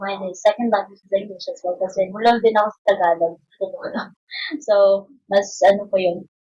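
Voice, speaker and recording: A woman of medium pitch talks at a fairly quick pace in a dark, mellow tone, with fairly even intonation, big swings in loudness, and long, frequent pauses. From Visayas, Philippines. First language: Bisaya. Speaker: podcast guest. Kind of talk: casual interview chat.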